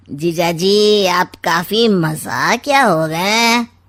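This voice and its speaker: Using a cartoonish character voice, a woman speaks at a medium pitch with ordinary pitch variation. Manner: sly, smug, insinuating.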